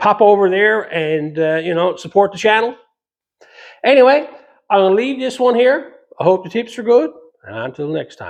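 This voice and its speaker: Speaking with a Newfoundland accent, a man with a high pitch talks at a moderate pace, his lively intonation marked by big swings in loudness and long, frequent pauses. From Newfoundland, Canada. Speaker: metal fabrication YouTuber. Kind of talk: casual Q&A talk to camera. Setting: home garage workshop.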